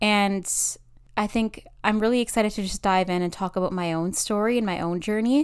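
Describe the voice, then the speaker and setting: A woman speaks at a fairly quick pace in a medium pitch with ordinary pitch variation, in an ordinary speaking voice. The recording is very clean, with a silent background. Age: 20s. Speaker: podcast host. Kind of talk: personal monologue.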